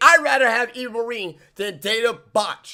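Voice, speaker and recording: A man's bright, sharp tone comes through in a raised, projected voice. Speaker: wrestling show reviewer. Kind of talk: casual video review. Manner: loud, raised voice; halting, many fillers.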